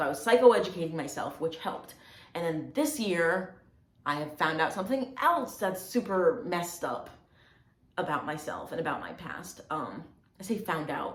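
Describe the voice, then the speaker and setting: A woman's fairly low voice at a moderate pace, with lively intonation, audible room echo and noticeable background noise. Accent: American. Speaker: video blogger. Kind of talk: personal testimony vlog. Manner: casual, hesitant with fillers.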